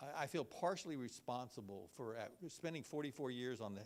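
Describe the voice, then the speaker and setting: A man with a Texan accent and lively intonation. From Texas (Belleville, small town). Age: 60s. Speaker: healthcare financing expert. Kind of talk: presentation. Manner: halting, many fillers and repeats.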